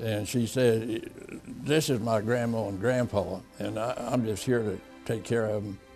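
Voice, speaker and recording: Music plays behind a man's voice. His pitch sits in the middle range, and his intonation stays fairly even. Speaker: war veteran. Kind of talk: oral history interview answer.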